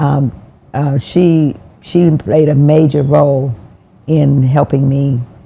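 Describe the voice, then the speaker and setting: The woman's voice is very deep and low, dark and mellow, somewhat breathy, with fairly even intonation. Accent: American. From US South. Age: 80s+. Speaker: former mayor. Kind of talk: interview. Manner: halting.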